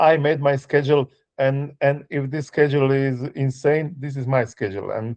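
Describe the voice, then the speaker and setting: Delivered at a fairly quick pace with fairly even intonation, the speech carries a non-native accent. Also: man. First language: not English. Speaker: author and music tour worker. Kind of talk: interview. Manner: halting, many fillers.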